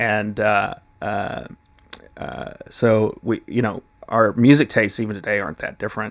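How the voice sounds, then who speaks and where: A man's fairly low pitch with vocal fry, ordinary pitch variation and a moderate pace. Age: 30s. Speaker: classical guitarist and music teacher. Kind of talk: casual interview. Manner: halting, many fillers and restarts.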